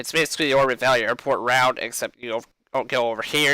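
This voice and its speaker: A man speaks loudly at a fairly quick pace, his medium-pitched voice bright and sharp in tone with a monotone, flat intonation. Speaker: gaming streamer. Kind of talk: tutorial. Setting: live stream.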